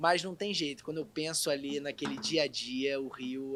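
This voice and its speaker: Speaking slowly, a man with a Rio de Janeiro accent has a bright, sharp tone, a medium pitch and ordinary pitch variation. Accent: carioca. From Rio de Janeiro, Brazil. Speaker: actor. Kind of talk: casual chat.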